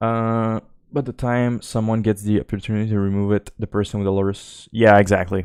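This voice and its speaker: The pace is fairly quick as a man speaks in a monotone, flat intonation. His pitch is fairly low, and the sound is dry and close with no echo. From Quebec, Canada. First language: French. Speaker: game streamer. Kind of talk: live gameplay commentary. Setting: live stream. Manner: casual, hesitant with fillers.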